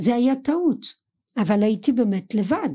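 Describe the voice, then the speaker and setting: In a French accent, a woman with a fairly high pitch speaks with lively intonation and a somewhat breathy voice in a very clean recording with a silent background. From France, Colmar (Alsace). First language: French (speaking Hebrew). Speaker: podcast guest, host's mother. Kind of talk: casual family chat. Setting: studio.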